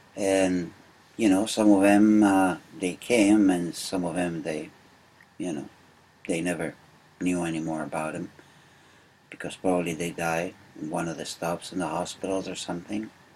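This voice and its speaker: A man with a Uruguayan accent, very deep and low in pitch, at a moderate pace with fairly even intonation and long, frequent pauses. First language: Spanish. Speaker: immigrant interviewee. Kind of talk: oral history interview. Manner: halting, many fillers.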